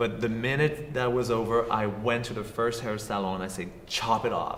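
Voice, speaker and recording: A man speaks at a medium pitch with a French accent. Audible room echo and noticeable background noise come through. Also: fairly even intonation, moderate pace. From southern France. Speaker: actor and filmmaker. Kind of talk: talk show interview.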